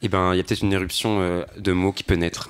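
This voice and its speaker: A man talks fairly quickly in a fairly low voice. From Brittany, France (Saint-Gravé). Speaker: volunteer educator. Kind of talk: casual panel discussion. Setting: radio studio, live broadcast. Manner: fast.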